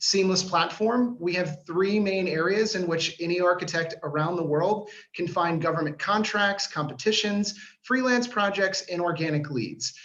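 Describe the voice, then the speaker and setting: An American accent comes through. Audible noise runs in the background. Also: man. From US, Washington D.C. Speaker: startup founder. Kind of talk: sales pitch.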